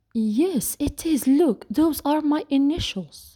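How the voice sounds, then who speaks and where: A woman uses a put-on character voice pitched high. She speaks at a fairly slow pace with lively intonation. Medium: read story.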